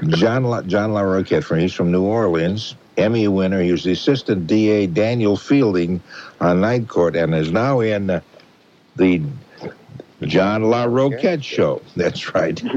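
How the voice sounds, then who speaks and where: An ordinary speaking voice, fairly slow, its pitch varying in an ordinary way. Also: man, fairly low pitch for a man. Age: 60s. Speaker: late-night radio host. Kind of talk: call-in radio show. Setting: radio studio. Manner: warm, laughing.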